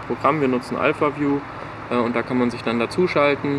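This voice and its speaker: A man's monotone, flat intonation over noticeable background noise. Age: 20s. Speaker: concert organizer and student. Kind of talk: casual interview. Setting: outdoors in a garden.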